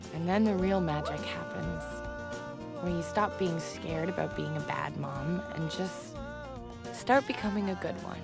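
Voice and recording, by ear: Clear music plays behind a woman doing a put-on character voice, low in pitch with vocal fry. Her pitch swings widely, and her pace is fairly slow.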